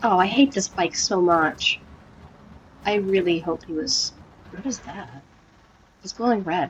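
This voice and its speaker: The delivery has lively intonation, big swings in loudness and long, frequent pauses. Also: woman, medium pitch for a woman. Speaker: gaming streamer. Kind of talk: let's play commentary. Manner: fast; animated.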